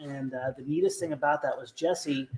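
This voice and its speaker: Soft-spoken and monotone, with flat intonation, a man with a fairly high voice talks at a moderate pace. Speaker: RC hobby show host. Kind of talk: casual chat. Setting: live stream.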